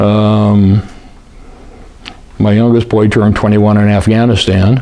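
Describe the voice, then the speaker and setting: With a Western US accent, a man talks at a fairly low pitch and a moderate pace. Noticeable background noise can be heard. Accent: General American (Western US). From US West, Lake Tahoe area. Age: 70s. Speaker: war veteran. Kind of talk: oral history interview. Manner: halting, many fillers.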